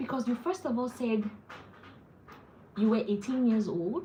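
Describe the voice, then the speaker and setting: There is noticeable background noise as a woman with a Nigerian accent speaks at a fairly high pitch. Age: 40s. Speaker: wellness vlogger. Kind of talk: casual live-stream chat. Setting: at home, live stream. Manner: animated.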